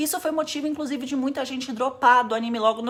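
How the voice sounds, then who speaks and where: A woman talks with a high pitch. Noticeable background noise runs behind her. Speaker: anime YouTuber. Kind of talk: casual explainer video.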